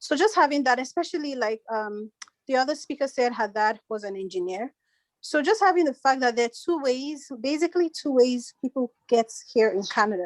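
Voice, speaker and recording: With lively intonation and a fairly quick pace, a high-pitched woman speaks in a dry, close sound with no echo. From Nigeria. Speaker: panel speaker, immigrant. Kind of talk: panel discussion.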